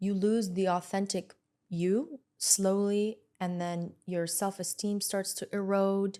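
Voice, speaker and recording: On a very clean recording with a silent background, a woman speaks at a medium pitch in a dark, mellow tone. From Lebanon. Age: 30s. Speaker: entrepreneur and podcast host. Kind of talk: podcast interview.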